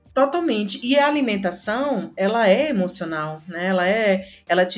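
Her intonation lively and her pace moderate, a woman speaks in an ordinary speaking voice. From Pernambuco, Brazil (interior). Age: 40s. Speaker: content manager at an ad agency. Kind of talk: casual interview chat.

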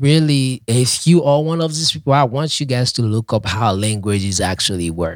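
A man speaks with a Haitian accent at a moderate pace, with hardly any pauses. His pitch is medium and his intonation is lively. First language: Haitian Creole. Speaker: podcast co-host teaching Haitian Creole. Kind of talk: casual chat.

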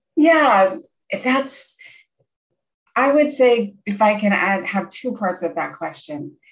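With an American accent, a woman speaks somewhat breathily at a fairly high pitch, her pitch swinging very widely between long, frequent pauses. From Pennsylvania, US Northeast. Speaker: clinical social worker and counselor. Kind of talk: interview.

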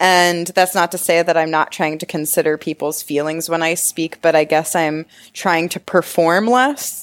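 A woman speaks in a plain, everyday voice at a fairly low pitch with fairly even intonation and hardly any pauses. The recording is very clean, with a silent background. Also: moderate pace. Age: 20s. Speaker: sex educator and shop owner. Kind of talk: interview, casual chat.

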